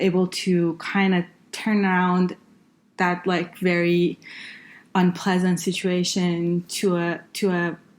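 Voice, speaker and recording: A woman's medium-pitched voice with an Iranian accent, very slow and monotone, flat in intonation, on a very clean recording with a silent background. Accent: Iranian (Persian) accent in English. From northern Iran. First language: Farsi. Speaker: engineer and healthcare consultant. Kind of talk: podcast interview. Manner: hesitant, many fillers.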